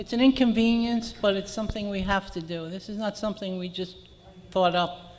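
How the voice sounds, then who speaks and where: The speech moves fairly quickly, with noticeable background noise underneath. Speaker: condo association board member. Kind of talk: board meeting remarks. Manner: soft-spoken.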